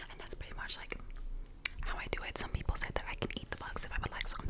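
A soft-spoken woman whispers at a very fast pace. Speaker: content creator. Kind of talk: whispered repetitive role-play chat. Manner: soft close-mic ASMR whisper. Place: home room. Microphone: studio mic.

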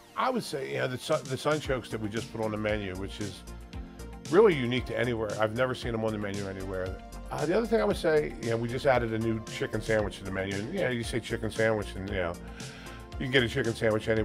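A man talks at a very fast pace. Clear music plays behind him. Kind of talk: interview answer. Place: cafe. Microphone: lapel.

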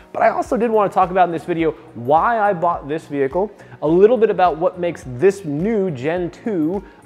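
Faint music plays behind a man whose voice is high and shows ordinary pitch variation. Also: fairly quick pace. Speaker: car channel host. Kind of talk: casual interview chat. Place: garage.

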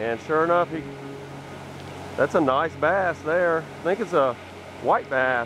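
With music in the background, a man talks at a fairly slow pace with ordinary pitch variation, the sound dry with no echo. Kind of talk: casual fishing vlog commentary. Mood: relaxed, pleased. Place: waterside. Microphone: phone near.

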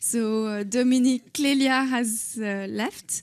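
With a French accent, a woman speaks in fairly even intonation. The background is quiet. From France. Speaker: government official; speaker. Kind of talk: conference speech. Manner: halting. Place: hall. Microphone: handheld.

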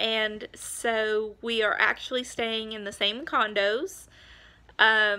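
A woman's bright, sharp voice in an American accent, at a very slow pace with fairly even intonation. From Montana. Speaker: homeschooling mom vlogger; parent vlogger. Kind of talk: casual vlog update; casual vlog chat. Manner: hesitant, many filler ums. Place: home room. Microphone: phone near.

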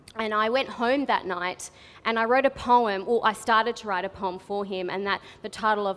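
With an Australian accent, a woman speaks in fairly even intonation. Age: 20s. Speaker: spoken word artist. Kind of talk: storytelling talk to a live audience. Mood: humorous, candid. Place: stage. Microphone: headset.

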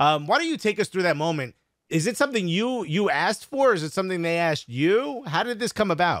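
Speaking at a very fast pace with lively intonation, a man with a New York accent and high pitch is heard in a dry, echo-free recording over a quiet background. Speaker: comedian and podcast host. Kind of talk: casual interview. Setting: video call. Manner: joking. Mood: friendly, upbeat. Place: home room. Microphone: studio mic.

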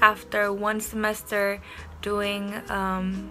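A woman's flat, monotone delivery over faint background music. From Indonesia. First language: Indonesian. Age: young. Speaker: university student. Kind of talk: casual talk to camera. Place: home room. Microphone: phone near.

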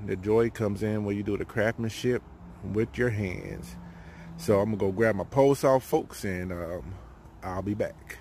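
Using a normal speaking voice, a man talks at a moderate pace with a fairly low pitch and ordinary pitch variation, the sound dry with no echo and light background noise behind him. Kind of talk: casual tutorial. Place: forest. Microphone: phone near.

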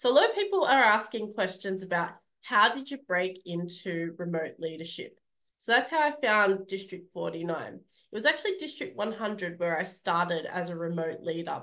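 A woman with an Australian accent speaks at a moderate pace in a bright, sharp tone. Her intonation is lively, and the background is quiet. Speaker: public speaking club leader; speaker. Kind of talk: speech. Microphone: video call.

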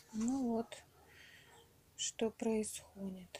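A woman's voice, fairly high in pitch. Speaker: home gardener. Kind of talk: casual talk to camera.

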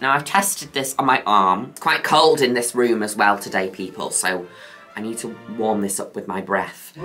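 Faint music sits in the background as the speaker talks at a moderate pace. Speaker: makeup creator. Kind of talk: casual makeup tutorial chat. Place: home room.

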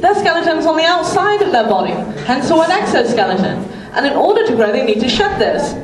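A woman at an extremely high pitch, fairly quick in pace, with noticeable background noise and audible room echo. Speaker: presenter. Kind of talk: public talk. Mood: warm, playful, enthusiastic. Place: stage.

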